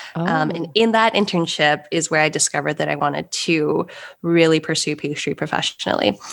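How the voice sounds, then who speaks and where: Speaking with an American accent, a woman keeps a fairly quick pace. Her very deep, low pitch has vocal fry and ordinary pitch variation. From US West Coast, Los Angeles. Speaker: pastry chef. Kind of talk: casual interview chat. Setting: video call.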